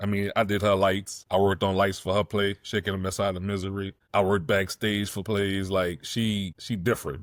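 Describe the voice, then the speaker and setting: A man's fairly low voice at a moderate pace, on a very clean recording with a silent background. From New Orleans, Louisiana. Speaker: actor and independent filmmaker. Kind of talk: casual vlog monologue. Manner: casual, conversational with many fillers.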